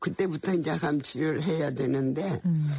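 Noticeable background noise surrounds a woman's voice. She speaks at a moderate pace with a very deep, low pitch. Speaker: literary museum director. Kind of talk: interview. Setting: studio.

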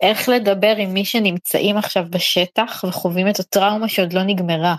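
Using a plain, everyday voice, a woman talks at a moderate pace with a medium pitch and fairly even intonation, the sound dry and close with no echo. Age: 30s. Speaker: podcast host and interviewer. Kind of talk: interview. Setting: online audio room.

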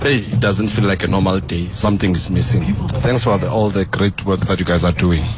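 Over noticeable background noise, a man talks at a fairly quick pace in a fairly low pitch with very even loudness. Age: 30s. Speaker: guest co-host, radio fan. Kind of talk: phone-in radio talk show. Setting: radio studio.

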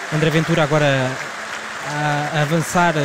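A man speaks very slowly at a fairly high pitch, with fairly even intonation. Audible room echo and crowd noise in the background accompany him. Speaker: radio reporter. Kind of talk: live commentary. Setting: convention hall. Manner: halting, with fillers.

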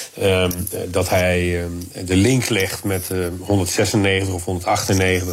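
A man speaks in a very deep, low voice with monotone, flat intonation. Noticeable background noise and audible room echo surround him. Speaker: security policy analyst. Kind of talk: radio interview.

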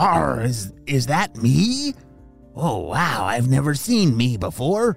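A man puts on a character voice at medium pitch and a very slow pace. Faint music plays in the background. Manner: pirate speech, surprised.

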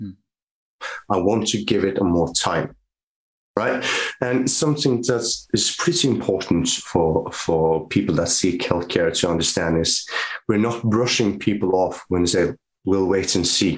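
A man speaks with a Norwegian accent in a very deep, low voice. His pitch shows ordinary variation. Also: fairly slow pace. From northern Norway. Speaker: physiotherapist. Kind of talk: casual interview.

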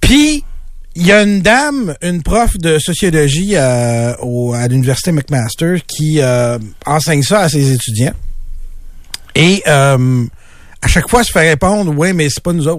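The speech moves at a fairly slow pace with long, frequent pauses and lively intonation. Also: man, fairly high pitch for a man. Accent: Quebec. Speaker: radio co-host, news columnist. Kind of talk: casual radio chat.

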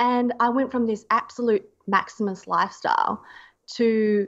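Over a quiet background, a woman with an Australian accent speaks at a fairly high pitch. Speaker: zero waste activist and medical student. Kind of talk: interview conversation.

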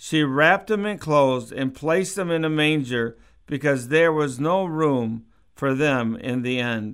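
A plain, everyday voice from a man, fairly high in pitch, at a fairly slow pace with ordinary pitch variation, on a very clean recording with a silent background. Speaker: pastor. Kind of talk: radio sermon; christmas scripture reading, solemn and measured. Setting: radio studio broadcast. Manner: slow, reverent, steady reading cadence; warm, sincere, conversational.

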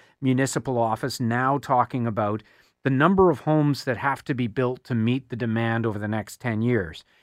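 A man with a Canadian accent talks at a fairly quick pace in an ordinary speaking voice, medium in pitch with ordinary pitch variation. The recording is very clean with a silent background. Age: 50s. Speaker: radio host. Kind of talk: talk radio. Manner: conversational with fillers.

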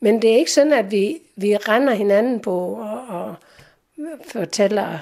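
Heard in a very clean recording with a silent background, a woman with a plain, everyday voice speaks at a fairly slow pace, her fairly high pitch carrying lively intonation. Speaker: letter recipient. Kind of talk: interview.

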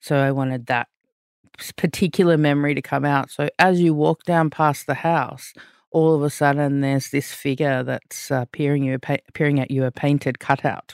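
The voice carries an Australian accent with fairly even intonation. The recording is very clean, with a silent background. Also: woman, very deep, low pitch for a woman, moderate pace, dry, close sound with no echo. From Australia, with Fijian heritage. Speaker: visual artist. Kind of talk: interview. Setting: studio.

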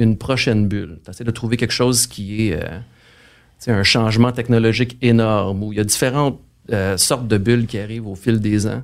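Speaking at a moderate pace with a Quebec accent, a man uses a medium pitch in a very clean recording with a silent background. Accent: Québécois French. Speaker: financial strategist. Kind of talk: interview.

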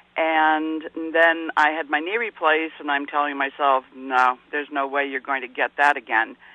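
A normal speaking voice, male and fairly high-pitched, with an American accent, fairly even intonation and hardly any pauses at a moderate pace. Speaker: caller. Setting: phone call.

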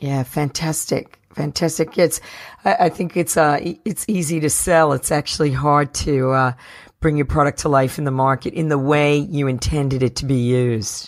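On a very clean recording with a silent background, a woman with an American accent speaks at a very deep, low pitch, a moderate pace and ordinary pitch variation. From New Jersey. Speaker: podcast host. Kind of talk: interview.

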